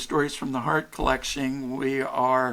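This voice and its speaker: On a very clean recording with a silent background, a man speaks in a bright, sharp tone at a fairly high pitch. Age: 60s. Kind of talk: podcast interview. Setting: podcast.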